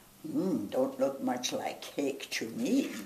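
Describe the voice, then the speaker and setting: A put-on character voice with a high pitch goes at a fairly slow pace over clear background noise. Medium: read story.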